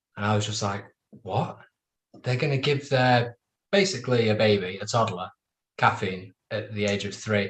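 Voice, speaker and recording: At a moderate pace, a man talks in a somewhat breathy voice of medium pitch. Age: 30s. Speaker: roundtable panelist. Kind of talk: casual chat.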